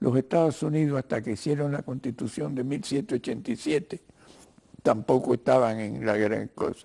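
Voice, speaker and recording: A man's tone is dark and mellow. He talks at a fairly quick pace. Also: medium pitch for a man, ordinary pitch variation. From Cuba. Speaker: writer and lawyer, interview guest. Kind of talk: TV interview. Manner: halting, with filler sounds.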